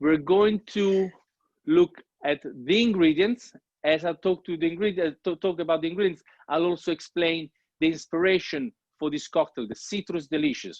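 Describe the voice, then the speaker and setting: Delivery comes at a moderate pace. The speaker has an Italian accent. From Italy. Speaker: bartender. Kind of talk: online cocktail-making class. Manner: hesitant, with frequent fillers.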